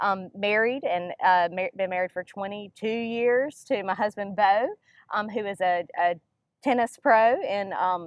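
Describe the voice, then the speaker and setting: A woman's medium-pitched voice with a Mississippi accent, fairly slow pace and ordinary pitch variation. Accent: Southern US (Mississippi). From US South, northern Mississippi. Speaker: nonprofit education director. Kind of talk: interview.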